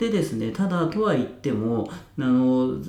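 A man's voice swings very widely in pitch. There is audible room echo and noticeable background noise. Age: 30s. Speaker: online community runner and YouTuber. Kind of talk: solo podcast talk. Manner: casual with many fillers.

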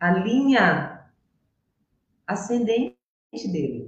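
Somewhat breathy, a woman at medium pitch makes very wide pitch swings. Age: 60s. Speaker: systemic therapist. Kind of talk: casual interview.

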